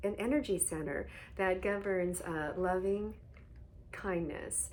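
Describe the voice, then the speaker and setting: Speaking at a very slow pace, a woman with a medium-pitched voice is heard amid audible room echo. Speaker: hyperhidrosis coach. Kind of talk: guided meditation. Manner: soft-spoken.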